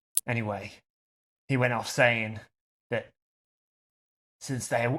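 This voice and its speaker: Putting on a rumbling character voice, a man of medium pitch speaks at a fairly slow pace with flat, monotone intonation. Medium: actual play. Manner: suspicious, grumbling.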